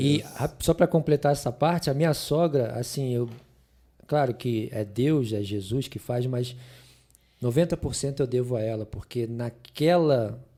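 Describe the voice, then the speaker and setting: A man talks at a fairly slow pace and medium pitch. His tone is dark and mellow. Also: ordinary pitch variation, very clean recording, silent background. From Rio de Janeiro, Brazil. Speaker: pastor and biologist. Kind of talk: podcast interview answer.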